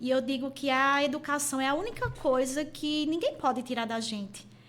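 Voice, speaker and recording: A woman's high-pitched voice with a Pernambuco accent, fairly slow and with fairly even intonation. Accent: Pernambuco accent, kept. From Pernambuco, Brazil. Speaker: university teacher and college head. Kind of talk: podcast interview.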